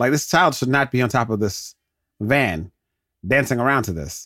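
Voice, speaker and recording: A man's animated voice with vocal fry. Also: very clean recording, silent background. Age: 30s. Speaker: podcast host. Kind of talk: solo movie watch-along commentary.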